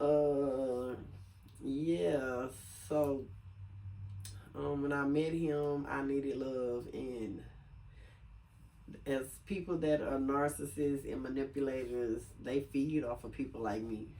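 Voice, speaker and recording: With an American accent, a woman speaks at a very slow pace with long, frequent pauses, a very deep, low pitch, ordinary pitch variation and a dark, mellow tone, her voice carrying audible room echo. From US South, Lake Charles, Louisiana. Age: 40s. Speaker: video blogger. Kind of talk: casual chat. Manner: casual, many filler sounds.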